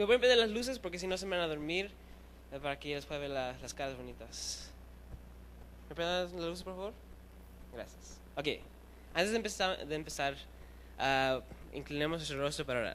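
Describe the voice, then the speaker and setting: Audible room echo surrounds a man who talks at a fairly quick pace with long, frequent pauses. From Chile, raised in Chicago among Puerto Ricans. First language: bilingual with English, weaker Spanish (speaking Spanish). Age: 20s. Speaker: youth preacher. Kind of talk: sermon. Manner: fast; halting, with fillers.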